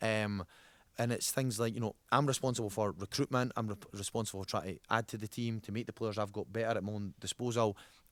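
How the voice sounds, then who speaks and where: A man's medium-pitched voice in a Scottish accent at a very fast pace, dry and close with no echo, in a very clean recording with a silent background. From Scotland. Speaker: youth football coach. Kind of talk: podcast interview. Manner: animated.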